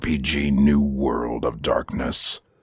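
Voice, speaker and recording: The voice is growling, with a dramatic tone. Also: man. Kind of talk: horror podcast intro. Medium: audio drama. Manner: ominous, dramatic.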